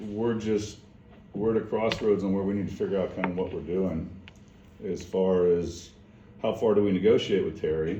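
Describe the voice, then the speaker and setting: With fairly even intonation and long, frequent pauses, a man speaks amid audible room echo. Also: fairly low pitch for a man, moderate pace. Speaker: property owner at city meeting. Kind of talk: meeting discussion.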